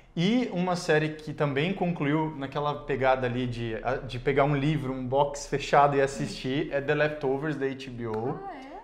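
Light background noise accompanies a man's fairly high voice, which moves at a fairly slow pace with ordinary pitch variation and big swings in loudness. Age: 30s. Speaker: YouTuber and actor; YouTuber, actor. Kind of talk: casual interview. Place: studio. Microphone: lapel.

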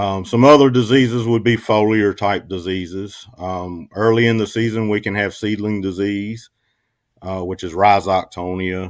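A man with an American accent has an unremarkable speaking voice, fairly low in pitch, at a moderate pace with fairly even intonation. The background is quiet and the sound is dry with no echo. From eastern North Carolina. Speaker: agricultural extension specialist; guest. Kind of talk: radio interview. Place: home room.

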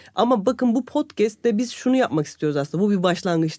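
Very clean audio with a silent background carries speech at a fairly quick clip. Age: 40s. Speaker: podcast co-host, corporate employee. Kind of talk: casual chat.

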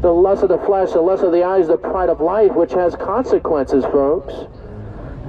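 Light background noise behind a moderately paced man with ordinary pitch variation. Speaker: street preacher. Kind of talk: sermon. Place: street. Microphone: phone near.

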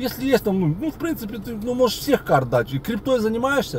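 Over light background noise, a man speaks in an animated tone at a high pitch and fairly quick pace, the sound dry with no echo. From Odesa, Ukraine. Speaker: video blogger. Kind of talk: casual storytelling to camera. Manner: animated, colloquial. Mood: ironic, mocking. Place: car. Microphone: phone near.

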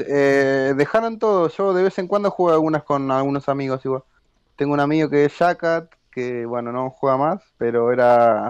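Recorded dry and close with no echo over a quiet background, a man with an ordinary speaking voice and fairly high pitch talks at a moderate pace with ordinary pitch variation. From Argentina. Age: 20s. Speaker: competitive video game player. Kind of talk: casual interview.

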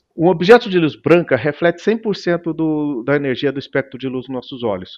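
The background stays quiet. This man talks at a moderate speed, his intonation lively. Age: 50s. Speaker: tech company founder; guest. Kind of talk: interview. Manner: halting. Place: home room. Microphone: headset.

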